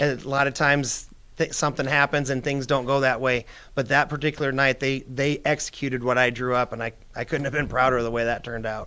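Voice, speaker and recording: A man's medium-pitched voice with a Midwestern American accent, a bright, sharp tone, monotone, flat intonation and a very fast pace. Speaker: retired girls basketball coach. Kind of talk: interview.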